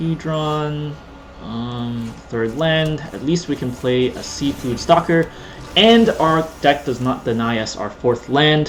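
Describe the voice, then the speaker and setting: At a very slow pace, a man talks at a fairly high pitch with ordinary pitch variation. Noticeable background noise sits behind him. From Canada. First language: Cantonese. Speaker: gaming YouTuber. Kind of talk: gameplay commentary. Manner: casual, rambling with repetitions.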